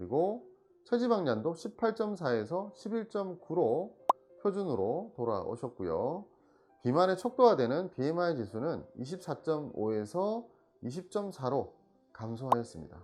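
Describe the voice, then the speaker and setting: The speaker talks at a fairly slow pace in a Busan accent. Music plays in the background. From Busan, South Korea. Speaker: Korean medicine doctor. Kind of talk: health explainer talk to camera.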